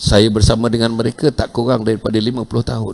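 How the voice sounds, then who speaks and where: A man talks at a fairly quick pace. His voice is fairly low-pitched, with flat, monotone intonation. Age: 70s. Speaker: religious preacher. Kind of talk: sermon. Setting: mosque.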